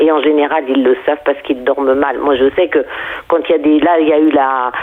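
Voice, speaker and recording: There is noticeable background noise as a woman speaks with a very deep, low pitch. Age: 70s. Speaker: astrologer and equine coach. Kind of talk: interview. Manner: halting.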